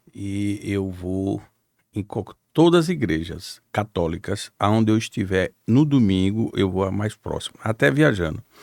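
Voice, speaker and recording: In a very clean recording with a silent background and a dry, close sound with no echo, a man speaks with a very deep, low pitch and ordinary pitch variation. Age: 60s. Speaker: politician, former mayor. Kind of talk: podcast interview.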